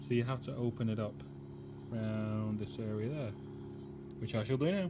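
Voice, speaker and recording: A somewhat breathy man speaks at a moderate pace in a northern English accent, with audible room echo. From northern England. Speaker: car restoration youtuber. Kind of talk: casual workshop vlog narration. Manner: casual, hesitant with fillers.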